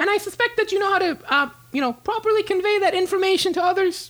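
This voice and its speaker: A put-on character voice, extremely high, nasal and squeaky, rattles along at a very fast pace. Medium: actual play. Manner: terse, keeps saying 'okay' after every sentence.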